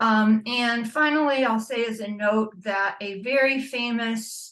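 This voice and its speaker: A woman talks fairly slowly in a normal speaking voice, fairly high in pitch with fairly even intonation. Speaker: panelist, nuclear weapons watchdog. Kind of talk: panel presentation. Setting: video call.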